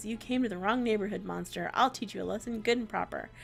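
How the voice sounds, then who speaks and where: Putting on a growling character voice at a medium pitch, a woman speaks at a very fast pace over clear background noise. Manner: threatening, defiant.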